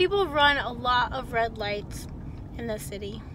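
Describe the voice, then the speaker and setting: A woman's high-pitched voice, dry with no echo, against light background noise. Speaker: delivery driver vlogger. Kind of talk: casual vlog chat. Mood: upbeat, chatty. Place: car. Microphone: phone near.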